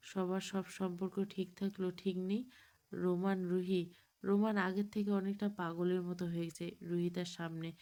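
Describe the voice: The clip is plain reading aloud. It is read straight through.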